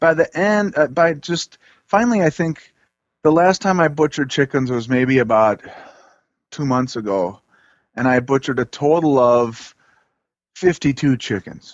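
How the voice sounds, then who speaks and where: A man with a fairly high pitch speaks at a moderate pace with lively intonation. He takes long, frequent pauses. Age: 40s. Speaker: forager and broom maker. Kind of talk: casual interview.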